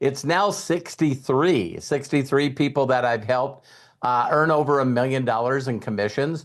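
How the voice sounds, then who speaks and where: A man with a fairly high pitch and a normal speaking voice talks at a moderate pace with ordinary pitch variation against a quiet background. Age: 60s. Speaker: network marketing leader. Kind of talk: mentorship talk on a group call. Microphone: sound is good.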